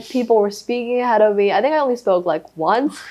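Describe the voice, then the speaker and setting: A woman with a Thai accent talks fairly quickly at a fairly high pitch. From Thailand. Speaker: former boarding school student. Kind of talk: casual interview chat.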